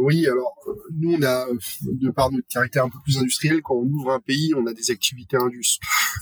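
A man talks fairly quickly at a medium pitch, in an ordinary speaking voice. The sound is dry and close, with no echo. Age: 30s. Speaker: head of people at a robotics company. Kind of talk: casual panel discussion.

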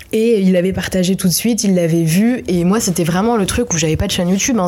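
Noticeable background noise behind a woman's medium-pitched voice, with ordinary pitch variation at a moderate pace. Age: 20s. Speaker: web video director. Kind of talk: interview. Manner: casual, hesitant with fillers.

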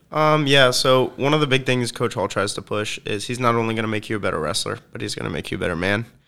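At a very fast pace, a man with a medium pitch and a bright, sharp tone talks with ordinary pitch variation. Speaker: college senior wrestler. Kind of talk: casual interview. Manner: halting.

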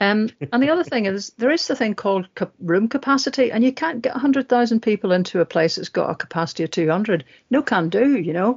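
Somewhat breathy and fairly high-pitched, a woman speaks very fast with very wide pitch swings. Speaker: podcast host. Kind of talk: casual political discussion podcast.

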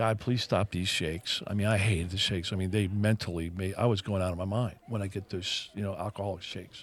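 Somewhat breathy and fairly low, a man's voice races at a very fast pace with hardly any pauses and fairly even intonation. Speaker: podcast co-host. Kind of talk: casual coffee chat; fervent prayer, earnest list of petitions. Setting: coffee shop. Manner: earnest, conversational; sincere, rhythmic repetition, heartfelt.

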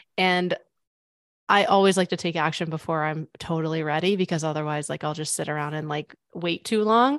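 In an unremarkable speaking voice, a woman talks fairly quickly at a fairly low pitch with ordinary pitch variation, over a quiet background. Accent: American. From US Midwest (Missouri). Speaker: business consultant. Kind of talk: interview.

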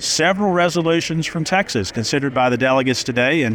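A man with a fairly high voice talks at a very fast clip, his intonation lively, over noticeable background noise. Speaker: farm radio reporter. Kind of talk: news report and interview. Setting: convention venue.

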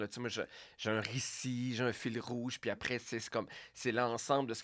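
Heard on a very clean recording with a silent background, a plain, everyday voice speaks at a moderate pace. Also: man. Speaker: radio host and comedian. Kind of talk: casual interview.

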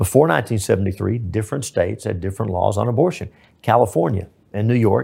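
Delivered at a very fast pace in a Texan accent, the voice has a dark, mellow tone with vocal fry and ordinary pitch variation. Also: man. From East Texas. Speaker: state senator and lawyer. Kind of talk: interview.

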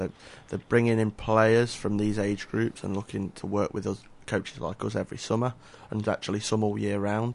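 A man with an English accent talks at a moderate pace. His voice is fairly low and his intonation monotone and flat. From England. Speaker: youth soccer coach. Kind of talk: radio interview. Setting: radio studio.

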